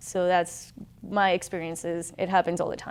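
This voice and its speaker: A woman with a Colombian accent talks at a moderate pace and medium pitch, recorded very cleanly against a silent background. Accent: Colombian Spanish accent, noticeable. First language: Spanish. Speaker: military officer. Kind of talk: testimony. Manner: halting.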